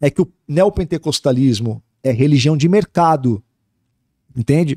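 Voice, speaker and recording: Against a quiet background, a man with a dark, mellow tone speaks at a fairly slow pace with lively intonation. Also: dry sound with no echo. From Brazil, Santos (São Paulo coast); São Paulo, Brazil. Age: 40s. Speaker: pastor. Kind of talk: interview. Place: studio. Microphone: studio mic.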